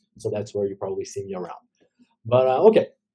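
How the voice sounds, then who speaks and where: A man's medium-pitched voice with a dark, mellow tone, a somewhat breathy quality, and lively intonation. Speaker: blockchain ecosystem correspondent. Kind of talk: news update segment. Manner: fast; casual, filler-heavy.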